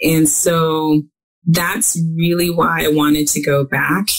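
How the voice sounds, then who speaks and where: The voice carries a Midwestern American accent. Its intonation is fairly even. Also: woman. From US Midwest. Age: 50s. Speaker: author. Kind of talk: interview.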